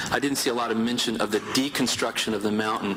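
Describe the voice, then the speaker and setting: A man talks at a very fast pace, his pitch medium. Noticeable background noise sits behind him. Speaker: grape farmer giving public comment. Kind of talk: public hearing testimony. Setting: public hearing room.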